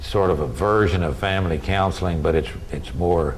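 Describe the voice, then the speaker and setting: Amid noticeable background noise and audible room echo, a man speaks with a very deep, low pitch and ordinary pitch variation. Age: 70s. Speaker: university administrator. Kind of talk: interview. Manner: halting.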